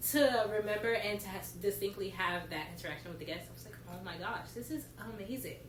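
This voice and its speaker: Amid noticeable background noise and audible room echo, a woman with an American accent talks at a medium pitch and fairly quick pace with lively intonation. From US South, Georgia (Stone Mountain, near Atlanta). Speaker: college program participant, retail cast member. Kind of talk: casual chat.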